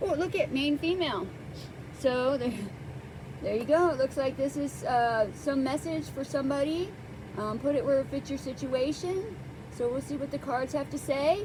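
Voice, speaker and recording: Over noticeable background noise, a woman talks at a moderate pace in a high pitch with lively intonation. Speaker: tarot reader. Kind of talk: tarot reading. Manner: halting.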